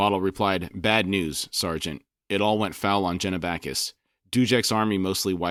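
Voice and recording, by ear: Reading aloud in a natural voice, fairly even in intonation, over a quiet background.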